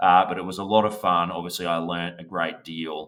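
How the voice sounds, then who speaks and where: With an Australian accent, a man speaks at a fairly quick pace in a very deep, low pitch and a bright, sharp tone. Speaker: business valuation expert. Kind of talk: podcast interview.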